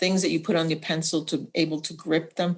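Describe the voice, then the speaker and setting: A woman with an unremarkable speaking voice talks at a fairly low pitch with fairly even intonation against a quiet background. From Puerto Rican family, raised in US. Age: 60s. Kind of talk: personal testimony.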